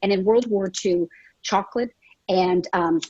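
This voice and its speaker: A woman speaks at a medium pitch with ordinary pitch variation and a dark, mellow tone. The sound is dry and close, with no echo. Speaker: business founder. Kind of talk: panel discussion. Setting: video call. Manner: fast; loud.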